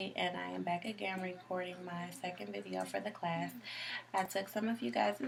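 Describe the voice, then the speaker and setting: Noticeable background noise runs under the recording. A woman speaks at a moderate pace over it. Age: 20s. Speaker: community college student. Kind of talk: video self-introduction. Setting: self-recorded video at home. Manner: hesitant, many ums.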